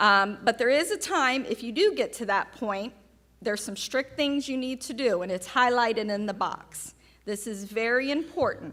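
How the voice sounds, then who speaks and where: In a Southern US accent, a woman speaks at a moderate pace with a high pitch, a bright, sharp tone and lively intonation. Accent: Southern American. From US South. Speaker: oncology nurse. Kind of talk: patient education talk. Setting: seminar with live audience.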